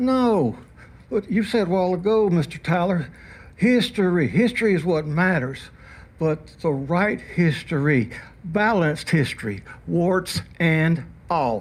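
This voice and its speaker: In a very clean recording with a silent background, a man with an Alabama accent talks at a fairly slow pace, his pitch high and his intonation lively, while his loudness stays very even. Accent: Southern US (Alabama). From Alabama, US South. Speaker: public commenter at city council meeting. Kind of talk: public comment speech. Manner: animated.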